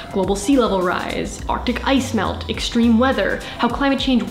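Woman at a moderate pace, with clear music in the background and audible room echo. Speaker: video creator. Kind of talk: advocacy talk to camera. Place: home room.

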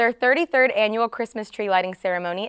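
Against a quiet background, a woman speaks at a fairly quick pace with a fairly high pitch and lively intonation. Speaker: news anchor and reporter. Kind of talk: newsreading, TV news anchor and reporter delivery. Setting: TV news studio. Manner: polished, formal, crisp broadcast delivery. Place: studio. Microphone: lapel.

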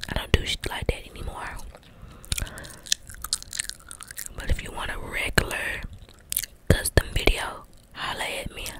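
Soft-spoken and whispering at a moderate pace with long, frequent pauses, the voice sounds dry with no echo while loud background noise plays. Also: woman. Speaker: ASMR creator. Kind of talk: casual ASMR chat and role play. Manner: close soft whisper into microphone. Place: home room. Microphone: handheld.

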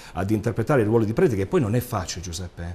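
Pitch swings very widely throughout. Some breathiness runs through the voice. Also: man. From Apulia, Italy. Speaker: actor and DJ; guest actor. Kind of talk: interview. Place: studio. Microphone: lapel.

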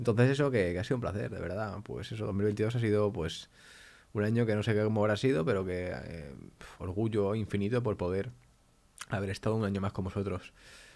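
A man's dark, mellow voice at a fairly low pitch, with ordinary pitch variation and a fairly quick pace. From Spain. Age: 20s. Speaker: YouTuber. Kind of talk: casual vlog talk to camera. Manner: animated. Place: home room. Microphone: studio mic.

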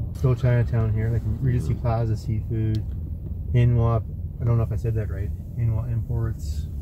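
A man talks at a moderate pace with noticeable background noise. The sound is dry, with no echo. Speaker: driver acting as local guide. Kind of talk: casual tour chat. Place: car. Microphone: phone near.

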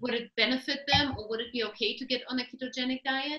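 A woman talks fast in a high, bright, sharp voice with fairly even intonation.

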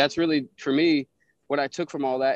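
In an American accent, a man with an unremarkable speaking voice talks at a fairly high pitch and fairly even intonation, the sound dry and close with no echo. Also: quiet background. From Pinellas Park, Florida. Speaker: former prisoner. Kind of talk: casual interview.

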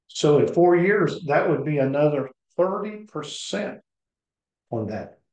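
Speaking very slowly with long, frequent pauses, a man with an American accent uses lively intonation against audible room echo. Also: fairly high pitch for a man. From Ohio. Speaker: insurance broker. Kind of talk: sales pitch. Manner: casual. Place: home room. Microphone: webcam.

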